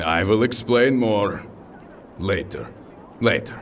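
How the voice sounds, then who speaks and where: Over clear background noise, a man of medium pitch uses a booming, put-on character voice at a fairly slow pace. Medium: audio drama. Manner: hearty, formal, slightly broken English.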